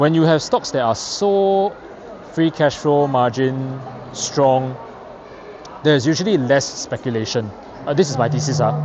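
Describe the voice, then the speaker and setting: With noticeable background noise and audible room echo, a man speaks at a moderate pace with ordinary pitch variation and long, frequent pauses. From Singapore. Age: late 30s. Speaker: investing youtuber. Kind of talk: casual explainer vlog. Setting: outdoors touring Shanghai. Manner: hesitant with many fillers and repetitions.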